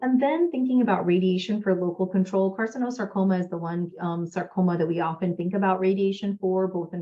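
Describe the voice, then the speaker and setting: A woman speaks with a fairly low pitch. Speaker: gynecologic oncologist. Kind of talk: lecture. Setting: webinar. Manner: fast.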